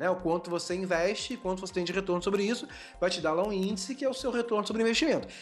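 Over music in the background, a man talks at a very fast pace in a high pitch with ordinary pitch variation. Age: 30s. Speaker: digital marketing entrepreneur. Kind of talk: interview.

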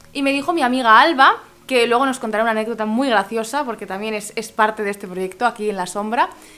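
Music plays in the background. A woman speaks at a high pitch. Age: 20s. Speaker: podcast host. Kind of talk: casual interview.

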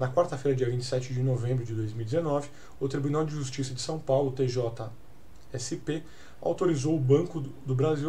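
A man with a Brazilian accent speaks at a moderate pace and a fairly high pitch, somewhat breathy, with a dark, mellow tone, fairly even intonation and audible room echo. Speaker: crypto news podcast host. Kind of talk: casual news commentary; reading news articles aloud. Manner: halting, many filler hesitations.

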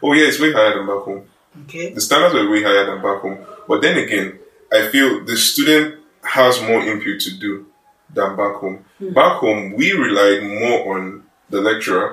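In a Nigerian accent, a man speaks at a moderate pace with a fairly low pitch and ordinary pitch variation. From Nigeria, Kogi State. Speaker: engineering student. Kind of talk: casual chat.

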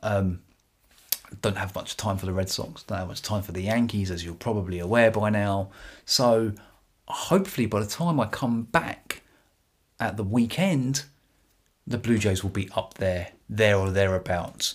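A man in a British accent speaks at a moderate pace and a fairly low pitch, his tone animated, his pitch variation ordinary, and his pauses long and frequent. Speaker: baseball podcaster. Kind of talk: solo podcast commentary. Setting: YouTube video podcast. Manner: animated, excitable.

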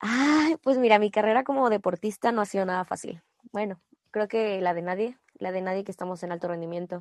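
Recorded with a dry, close sound and no echo, a woman with an unremarkable speaking voice talks at a medium pitch and a fairly quick pace. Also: ordinary pitch variation. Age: 20s. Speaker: national team gymnast. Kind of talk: interview.

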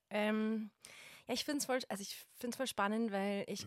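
In a Bavarian accent, a woman speaks at a medium pitch and a moderate pace, the sound dry and close with no echo. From Bavaria, Germany. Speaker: wedding photographer. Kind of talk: casual chat.

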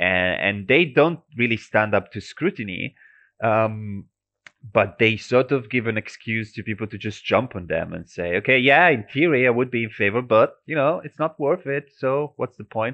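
A man with an Italian accent speaks at a moderate pace and a medium pitch. His intonation is lively, and his loudness swings widely. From Italy. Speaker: transport researcher. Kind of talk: interview. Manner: halting, many repetitions and fillers.

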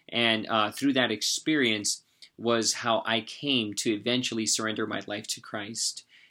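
A man speaks in an American accent with a bright, sharp tone. His intonation stays monotone and flat. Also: medium pitch for a man, fairly slow pace. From US West, San Jose, California. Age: 30s. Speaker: guest sharing faith testimony. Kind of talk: testimony; motivational charge.

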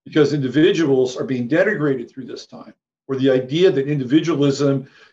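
Here is a man with a plain, everyday voice and a fairly high pitch. He keeps a moderate pace and ordinary pitch variation. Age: 60s. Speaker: psychic astrologer. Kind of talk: interview. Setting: video call.

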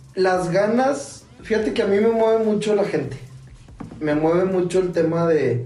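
High pitch from a man, with audible room echo and noticeable background noise. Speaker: podcast co-host. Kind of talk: casual chat.

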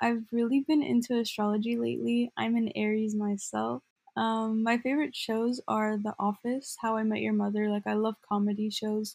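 In a normal speaking voice, a woman with an American accent talks at a moderate pace, her pitch fairly high and her intonation fairly even. Loudness stays very even with hardly any pauses, and the sound is dry and close with no echo. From Glendale, Southern California. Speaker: student podcast co-host. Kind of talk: scripted podcast intro.

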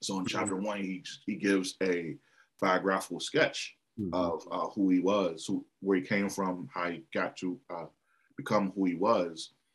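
A man's very deep, low voice with an American accent, ordinary pitch variation and a moderate pace. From Washington, D.C. area. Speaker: bookstore co-owner. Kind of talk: casual interview.

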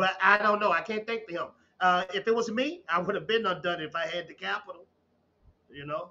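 With a Southern US accent, a man talks at a fairly quick pace in a high voice, his pitch varying in an ordinary way. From Texas, small town. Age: 30s. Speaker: YouTube commentator. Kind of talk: casual chat. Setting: live stream.

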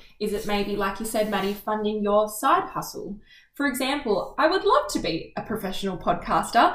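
Over noticeable background noise, a woman with an Australian accent speaks at a moderate pace and a fairly high pitch with lively intonation. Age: 20s. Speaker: podcast co-host. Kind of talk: casual chat.

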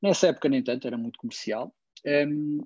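A man with a dark, mellow tone talks at a very fast pace in a dry, close sound with no echo. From Porto, northern Portugal. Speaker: technology business manager, music fan. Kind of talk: casual interview.

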